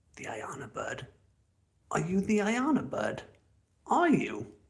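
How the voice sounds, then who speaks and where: Here a man speaks with an English accent. He talks at a very slow pace. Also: long, frequent pauses. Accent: posh, well-spoken English. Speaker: outdoor living vlogger. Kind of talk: casual live stream chat. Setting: outdoors.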